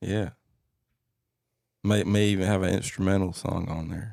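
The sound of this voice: A man's low, slightly mellow voice with vocal fry, fairly even intonation and a moderate pace, on a very clean recording with a silent background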